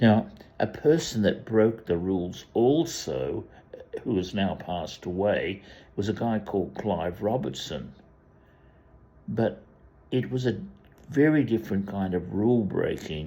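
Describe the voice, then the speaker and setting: A man with an Australian accent, a fairly low pitch and a dark, mellow tone speaks at a fairly slow pace with vocal fry, lively intonation and long, frequent pauses. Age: 80s+. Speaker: commentator. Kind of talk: monologue. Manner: halting.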